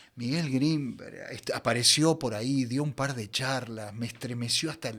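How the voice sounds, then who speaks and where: The speech has a Rioplatense accent, a moderate pace, and fairly even intonation on a very clean recording with a silent background. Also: man, medium pitch for a man. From Buenos Aires. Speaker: voice actor. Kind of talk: interview answer.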